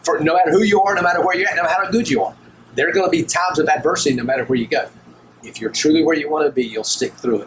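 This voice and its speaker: Amid noticeable background noise, a man speaks very fast with lively intonation. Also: fairly high pitch for a man. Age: 60s. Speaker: college baseball head coach. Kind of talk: podcast interview. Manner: casual, with many fillers.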